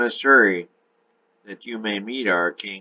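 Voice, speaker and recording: A man uses a put-on character voice, pitched fairly low and delivered at a moderate pace. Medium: read story. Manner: solemn, formal.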